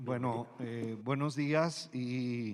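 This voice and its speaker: The man speaks with fairly even intonation. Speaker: museum director and ecologist. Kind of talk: formal presentation. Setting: auditorium before university council. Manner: hesitant, many fillers.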